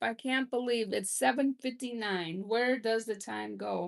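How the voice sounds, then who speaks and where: A woman speaks in a Minnesotan accent against a quiet background. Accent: Minnesota. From Minnesota, US Midwest. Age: 50s. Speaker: livestream host, grandmother. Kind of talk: casual live chat reading comments. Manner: hesitant, many fillers.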